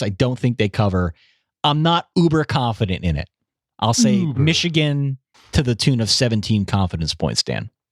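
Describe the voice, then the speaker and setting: A man speaks at medium pitch and a moderate pace, his pitch swinging very widely. The recording is very clean, dry and close, with a silent background and no echo. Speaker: sports podcast co-host. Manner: enthusiastic, energetic.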